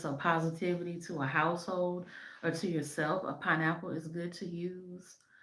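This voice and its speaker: A woman with a fairly low voice speaks at a moderate pace in a monotone, flat intonation, with audible room echo. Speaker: spiritual practitioner and shop owner. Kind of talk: educational talk to camera. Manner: halting, many fillers.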